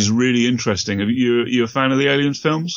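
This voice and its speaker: This is a man with a British accent. His pitch variation is ordinary. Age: 40s. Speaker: podcaster. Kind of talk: casual chat.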